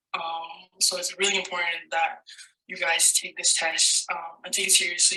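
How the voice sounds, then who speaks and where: This woman speaks with a Spanish accent. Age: young. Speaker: college student. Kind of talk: prerecorded testimony. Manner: hesitant, many fillers.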